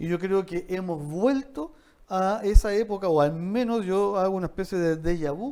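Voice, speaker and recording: A man's high voice, dark and mellow in tone, with lively intonation. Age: 60s. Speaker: university dean. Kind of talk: interview conversation. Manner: halting with repetitions.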